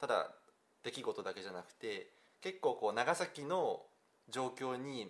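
A man is speaking. His pace is fairly slow. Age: 20s. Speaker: newspaper reporter. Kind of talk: casual chat.

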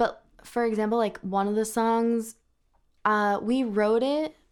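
This is an unremarkable speaking voice. The recording is very clean, with a silent background. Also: woman. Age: 20s. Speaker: up-and-coming musician. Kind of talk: casual interview.

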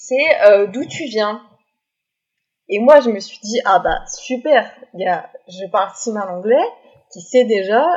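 Speaking at a very slow pace, a woman uses a fairly high pitch with lively intonation. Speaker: student who lived abroad. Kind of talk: casual chat.

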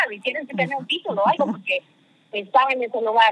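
Fairly quick speech from a woman, fairly high in pitch, with ordinary variation in pitch. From Mexico. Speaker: marketing executive. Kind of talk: interview. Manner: animated.

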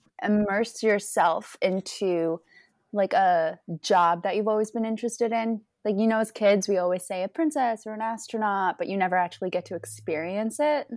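A woman's fairly high-pitched, normal speaking voice with an American accent, on a very clean recording with a silent background. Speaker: guest. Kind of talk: casual interview chat.

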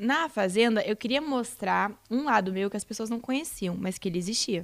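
Speaking at a fairly slow pace, a woman uses a plain, everyday voice with fairly high pitch and ordinary pitch variation. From southern Brazil (Rio Grande do Sul). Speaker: reality show contestant. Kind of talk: casual interview chat.

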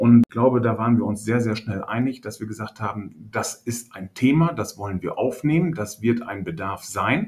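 Somewhat breathy, a man talks at a medium pitch and a moderate pace with ordinary pitch variation. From Münsterland, northwestern Germany (Hörstel). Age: 50s. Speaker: agricultural real estate agent. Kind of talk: casual interview.

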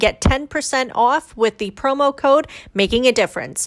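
The sound is close and dry, without echo. A woman speaks fairly slowly. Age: 40s. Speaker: talk show host. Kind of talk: sponsor announcement.

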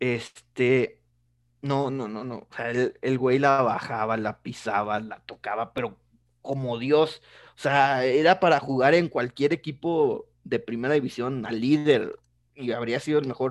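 A man speaks in an ordinary speaking voice at medium pitch, fairly slowly and with fairly even intonation. His loudness swings widely against a quiet background. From Mexico, Tampico. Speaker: football youtuber. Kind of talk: casual interview.

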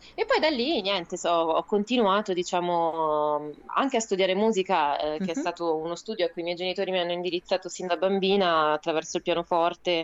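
A woman's unremarkable speaking voice, fairly low in pitch with ordinary variation, at a fairly quick pace. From Rome, Italy. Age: 30s. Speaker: theatre artist and writer. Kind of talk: casual radio interview, storytelling. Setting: remote call for live web radio.

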